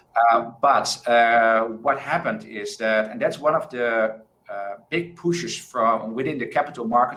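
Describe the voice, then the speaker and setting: A man's medium-pitched voice with a bright, sharp tone, ordinary pitch variation, a moderate pace and audible room echo. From Netherlands. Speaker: crowdfunding expert, panelist. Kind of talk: conference panel discussion.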